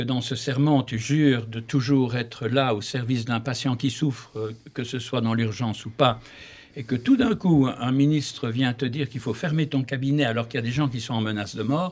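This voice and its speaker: With a Belgian accent, a man talks at a moderate pace. His pitch is medium and his intonation fairly even. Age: 70s. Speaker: surgeon, election candidate. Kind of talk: interview.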